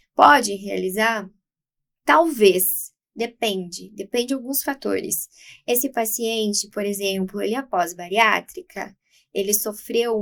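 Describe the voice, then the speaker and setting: A woman with a plain, everyday voice speaks at a fairly slow pace, with a medium pitch and ordinary pitch variation. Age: 20s. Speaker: aesthetics clinician. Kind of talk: podcast interview.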